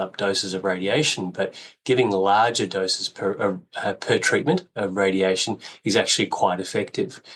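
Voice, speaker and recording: This man has a fairly low pitch and an Australian accent. He talks at a moderate pace. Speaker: radiation oncologist. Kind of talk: interview.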